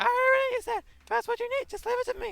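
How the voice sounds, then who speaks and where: In a put-on character voice, the speaker goes at a very fast pace, squeaky and at an extremely high pitch. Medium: fan dub. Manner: formal, composed.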